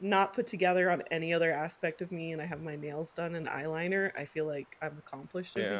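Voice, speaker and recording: Fairly low for a woman, her normal speaking voice keeps a fairly even intonation. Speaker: podcast co-host. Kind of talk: casual podcast chat. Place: home room.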